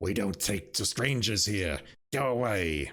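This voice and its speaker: A man's put-on character voice, raspy and growling, at a fairly slow pace on a very clean recording with a silent background. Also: fairly low pitch for a man. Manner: menacing, growling.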